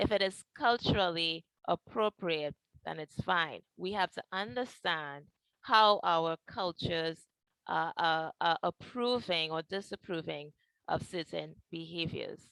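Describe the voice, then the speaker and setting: A woman with a Trinidadian accent speaks at a fairly slow pace in a fairly low pitch, her tone bright and sharp with ordinary pitch variation, in a dry, close sound with no echo. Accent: Trinidadian, sing-song. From Trinidad and Tobago. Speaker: mental health counselor. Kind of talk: educational talk.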